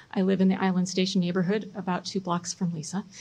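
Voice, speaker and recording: A woman speaks very fast in a somewhat breathy voice with an American accent. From US Midwest (Chicago, Michigan). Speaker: local politician, mayoral candidate. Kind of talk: candidate debate. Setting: public debate event with audience.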